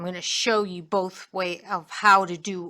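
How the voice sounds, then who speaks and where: At a very slow pace, a woman speaks in a bright, sharp tone. Her pitch is medium with ordinary variation. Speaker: needlepoint finishing instructor. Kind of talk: tutorial. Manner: casual.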